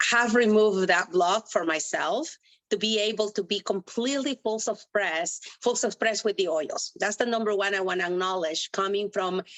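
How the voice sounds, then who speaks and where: Speaking at a moderate pace, a woman uses a medium pitch and ordinary pitch variation. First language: not English. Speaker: essential oils business member. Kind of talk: testimony.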